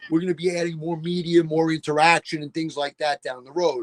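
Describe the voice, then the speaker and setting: A man speaks at a fairly quick pace in a New York accent. The sound is dry and close, with no echo. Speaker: sports podcast host, former football coach. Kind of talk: casual chat.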